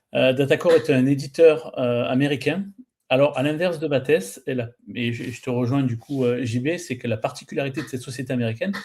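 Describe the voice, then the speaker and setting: With a southern French accent, a man speaks at a fairly quick pace and a medium pitch. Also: ordinary pitch variation. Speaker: pre-sales director at software company. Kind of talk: webinar panel presentation.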